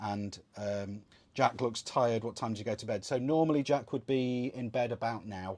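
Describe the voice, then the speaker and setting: In a very clean recording with a silent background, a man with a Welsh accent speaks at a moderate pace and medium pitch with ordinary pitch variation. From Wales. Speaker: sailing channel host. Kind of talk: livestream Q&A.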